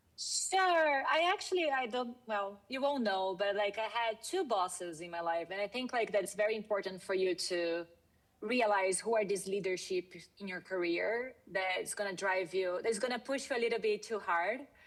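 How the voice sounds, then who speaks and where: A woman speaks with a non-native accent. Her pitch variation is ordinary. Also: medium pitch for a woman, moderate pace. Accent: foreign. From Brazil. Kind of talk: panel discussion. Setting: stage with audience.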